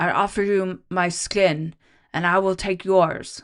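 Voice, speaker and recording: A put-on character voice comes at a fairly slow pace and middle pitch, with monotone, flat intonation. The background is quiet. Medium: read story. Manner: slurred and halting.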